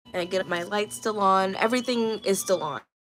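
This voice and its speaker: A woman speaks at a moderate pace and medium pitch with lively intonation. Music plays in the background. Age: 20s. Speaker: livestreamer. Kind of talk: casual livestream chat.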